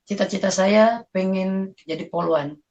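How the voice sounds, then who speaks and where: A woman speaks in a somewhat breathy voice. Her intonation stays fairly even. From South Sulawesi, Indonesia (Bugis, Parepare). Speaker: convert giving testimony. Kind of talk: testimony. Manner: casual, hesitant with fillers.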